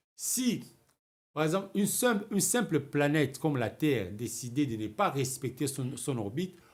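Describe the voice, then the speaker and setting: A somewhat breathy, fairly high-pitched man at a moderate pace, with very wide pitch swings. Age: 60s. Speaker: writer and political commentator. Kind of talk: political talk show interview. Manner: halting, repeats words.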